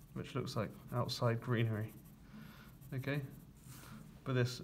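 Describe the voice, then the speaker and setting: A man speaks at a medium pitch in a flat, monotone way, with a slightly breathy voice. He leaves long pauses, and they come often. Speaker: construction drawing teacher. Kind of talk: tutorial.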